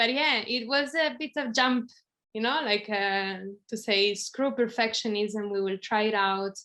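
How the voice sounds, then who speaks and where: At a fairly slow pace, a woman with an Italian accent speaks in a fairly high, bright, sharp tone with ordinary pitch variation against a quiet background. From Italy. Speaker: video podcast co-host. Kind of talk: casual conversation.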